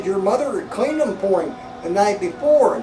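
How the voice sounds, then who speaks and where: Clear background noise runs under a put-on character voice with a fairly high pitch and a fairly quick pace. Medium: solo performance.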